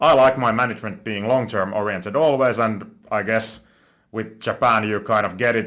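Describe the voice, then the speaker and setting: With a Finnish accent, a man speaks at a moderate pace and medium pitch, his pitch varying in an ordinary way. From Finland. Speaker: stock investing youtuber. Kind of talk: investment analysis monologue. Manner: halting, self-correcting.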